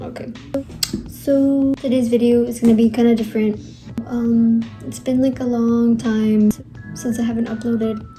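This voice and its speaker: A woman's fairly high voice in a monotone, flat delivery at a moderate pace, with long, frequent pauses and music in the background. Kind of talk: casual talk to camera. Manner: pessimistic, downbeat.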